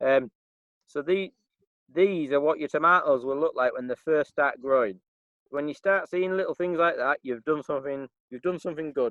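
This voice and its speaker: This man has a Yorkshire accent and a fairly high pitch, with ordinary pitch variation. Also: moderate pace. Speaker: farm manager. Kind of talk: tutorial. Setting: outdoors in a garden. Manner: casual, halting with fillers.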